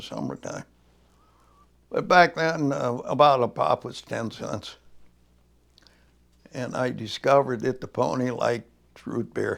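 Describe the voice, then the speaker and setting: Long, frequent pauses break up the speech of a man with a US Midwestern accent. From northern Indiana, US Midwest. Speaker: oral history interviewee. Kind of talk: oral history interview. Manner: halting, with many fillers.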